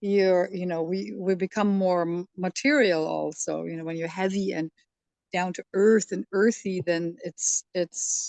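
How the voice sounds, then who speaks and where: A woman with a German accent speaks at a fairly slow pace and medium pitch. Her intonation is fairly even, and the sound is dry and close with no echo. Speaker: study group participant. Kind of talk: group discussion. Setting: video call.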